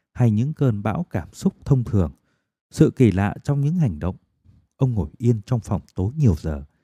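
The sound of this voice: Lively intonation shapes an unforced reading voice, and the background is quiet.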